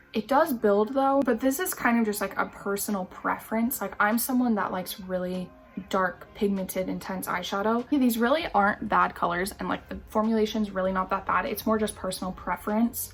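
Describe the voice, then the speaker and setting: With music in the background, a woman of fairly high pitch speaks at a fairly quick pace with hardly any pauses and ordinary pitch variation. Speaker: beauty youtuber. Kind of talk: makeup tutorial. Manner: casual, lots of filler words.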